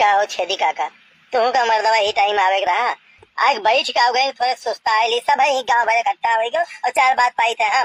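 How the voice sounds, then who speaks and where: This is a cartoonish character voice that sounds female, pitched fairly high. It moves at a fairly quick pace. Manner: grumbling, rustic.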